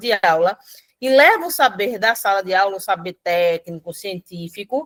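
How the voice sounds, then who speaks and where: A woman with a plain, everyday voice, lively intonation and a fairly slow pace, in a dry, close sound with no echo. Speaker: professor. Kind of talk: lecture.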